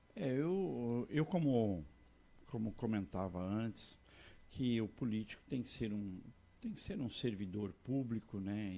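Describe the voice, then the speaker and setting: Speaking at a fairly slow pace, a man uses a fairly low, dark and mellow voice with ordinary pitch variation. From Santa Catarina, Brazil. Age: 60s. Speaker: politician. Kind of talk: interview. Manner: repetitive false starts.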